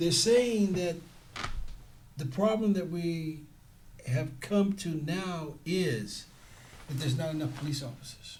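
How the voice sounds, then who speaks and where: The speaker has an American accent and talks at a fairly slow pace with long, frequent pauses. The intonation is lively, and the room echo is audible. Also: man, high pitch for a man. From San Francisco, US West Coast. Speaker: security guard trainer. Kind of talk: interview.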